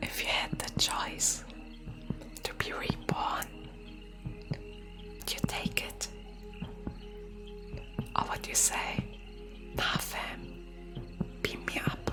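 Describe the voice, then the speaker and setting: A woman whispering at a very slow pace with long, frequent pauses, music in the background. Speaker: virtual streamer, ASMR creator. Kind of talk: live stream chat with viewers, ASMR personal attention.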